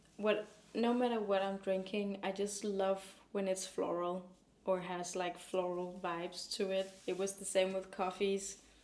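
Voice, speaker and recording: A woman talks at a fairly slow pace in a medium pitch, her intonation monotone and flat. Noticeable background noise runs under her voice. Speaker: lifestyle vlogger. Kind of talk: casual talk to camera.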